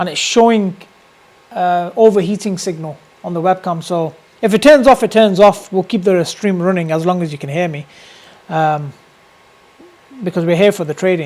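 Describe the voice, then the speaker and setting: With a British accent, a man speaks at a moderate pace and a high pitch, with ordinary pitch variation and long, frequent pauses. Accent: UK. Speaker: day trader streamer. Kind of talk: live trading stream commentary. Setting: live stream with webcam. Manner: casual, filler-heavy.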